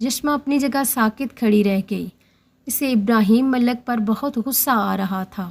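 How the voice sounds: The pitch varies an ordinary amount in this natural reading voice.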